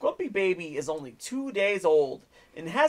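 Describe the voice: This is plain reading aloud. The voice does nothing beyond that.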